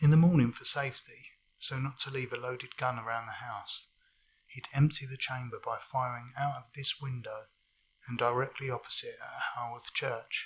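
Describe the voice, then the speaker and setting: With a medium pitch, a somewhat breathy man speaks at a moderate pace in a monotone, flat intonation, while his loudness swings widely. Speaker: travel vlogger. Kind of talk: travel vlog walk-and-talk. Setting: outdoors in a cemetery. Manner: hesitant, many fillers.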